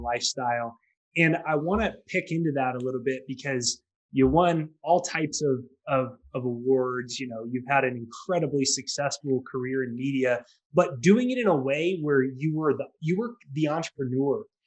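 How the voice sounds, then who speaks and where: Using a plain, everyday voice, a man with an American accent speaks at a medium pitch and moderate pace, with ordinary pitch variation. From southern California. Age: 20s. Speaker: podcast host. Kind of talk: interview.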